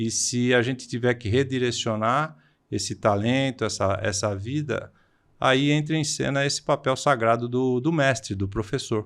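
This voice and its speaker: At a moderate pace, a man speaks in a medium pitch with ordinary pitch variation against a quiet background. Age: 60s. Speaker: vocational education professor. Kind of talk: podcast interview. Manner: halting, frequent hesitations.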